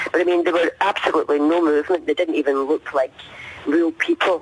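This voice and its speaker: Talking at a fairly quick pace, a man speaks in a Scottish accent. The sound is dry and close with no echo, with noticeable background noise. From Scotland. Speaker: eyewitness. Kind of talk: testimony. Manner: halting.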